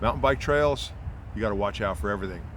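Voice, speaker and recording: A man speaks at a very fast pace with a fairly low pitch and vocal fry. His pitch swings very widely, and room echo is audible. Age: 60s. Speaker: cycling podcast host. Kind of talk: casual monologue. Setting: outdoors in a park.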